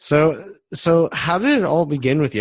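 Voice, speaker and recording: The man's pitch varies in an ordinary way. He talks with an American accent. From US Midwest, Detroit. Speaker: podcast host. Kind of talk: casual interview.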